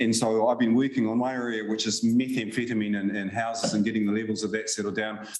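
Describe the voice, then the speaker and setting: Audible room echo surrounds a man speaking with a New Zealand accent. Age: 60s. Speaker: science policy advisor. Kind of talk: conference Q&A answer. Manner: hesitant, repeats words.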